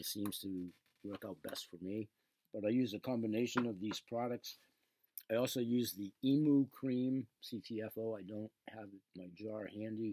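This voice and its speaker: Recorded dry and close with no echo, a man talks at a moderate pace in a medium pitch, with fairly even intonation and a dark, mellow tone. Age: 60s. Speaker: online seller and radio show host. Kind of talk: casual video monologue, product talk. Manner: rambling, conversational.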